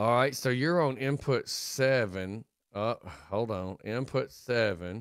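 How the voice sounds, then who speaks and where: In a Southern US accent, the voice moves at a very slow pace with ordinary pitch variation. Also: man, medium pitch for a man. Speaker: radio host. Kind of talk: casual chat.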